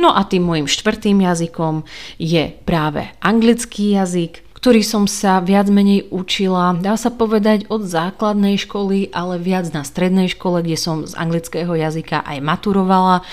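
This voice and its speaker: A woman with a Hungarian accent speaks with fairly even intonation. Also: medium pitch for a woman, moderate pace. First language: Hungarian (speaking Slovak). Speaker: book podcaster. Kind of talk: solo podcast talk. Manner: casual, hesitant fillers.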